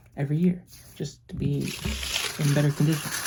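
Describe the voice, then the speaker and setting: Soft-spoken and somewhat breathy, a woman with a very deep, low pitch and a dark, mellow tone talks at a fairly quick pace with ordinary pitch variation. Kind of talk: soft-spoken lo-fi ASMR ramble. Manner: soft-spoken, rambling, casual.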